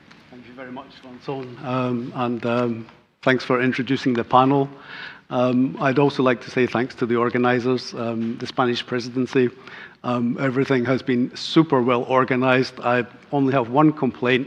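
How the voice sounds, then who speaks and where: A man with a Scottish accent talks at a moderate pace and medium pitch, his intonation monotone and flat while his loudness swings widely. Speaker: EU agency team leader, energy efficiency engineer. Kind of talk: conference presentation. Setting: conference stage with panel. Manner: trying to speak clearly.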